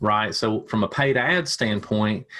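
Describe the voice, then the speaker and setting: A man with a Tennessee accent at a medium pitch. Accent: Southern US (Tennessee). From US South, Tennessee. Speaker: ad agency owner, digital marketer. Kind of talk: podcast interview. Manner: halting, many repeats and fillers.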